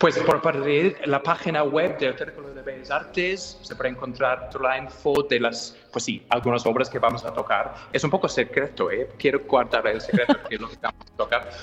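Speaking with an English accent at a moderate pace, the voice has a fairly bright tone. There are few pauses and ordinary pitch variation. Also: man, medium pitch for a man.

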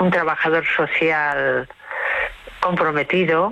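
A woman's low pitch, bright, sharp tone, fairly even intonation and fairly slow pace

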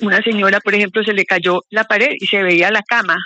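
Recorded with a dry, close sound and no echo, a woman speaks at a medium pitch in a bright, sharp tone with fairly even intonation.

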